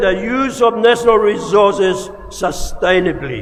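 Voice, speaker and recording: Noticeable background noise accompanies a man talking very slowly. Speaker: graduation speaker, senior statesman. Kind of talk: formal graduation speech.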